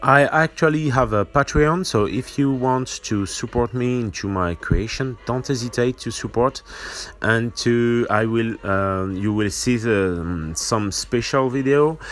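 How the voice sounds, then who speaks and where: A man with a French accent, at a fairly slow pace. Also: medium pitch for a man, ordinary pitch variation. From France. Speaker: miniature painting tutor. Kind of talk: tutorial. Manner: halting, many fillers.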